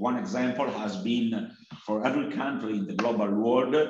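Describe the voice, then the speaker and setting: A man's lively intonation comes through noticeable background noise and audible echo from the room. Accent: Italian. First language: Italian. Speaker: sociology professor. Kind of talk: academic presentation. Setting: video call.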